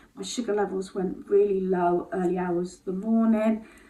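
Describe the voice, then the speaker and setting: In an English accent, a woman talks at a medium pitch. Her pitch varies in an ordinary way. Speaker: lifestyle vlogger. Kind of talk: casual vlog monologue. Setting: at home on the landing. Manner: hesitant, many fillers.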